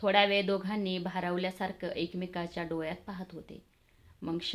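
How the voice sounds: Fairly even intonation runs through a natural reading voice here.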